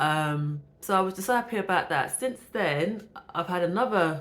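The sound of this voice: Her tone fairly bright, a woman speaks at a fairly slow pace with ordinary pitch variation.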